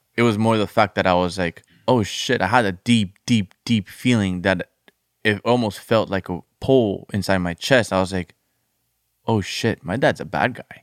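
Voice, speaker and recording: Over a silent background in a very clean recording, a man with a fairly low pitch talks at a moderate pace with ordinary pitch variation and a dry, close sound with no echo. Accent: Colombian. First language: Spanish. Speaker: former addict in recovery. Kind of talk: casual chat.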